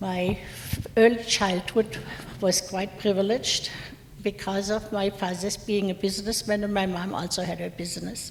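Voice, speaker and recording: A woman's flat, monotone delivery at medium pitch and moderate pace, with noticeable background noise. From Germany, Mainz. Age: 70s. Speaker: war survivor. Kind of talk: lecture; testimony.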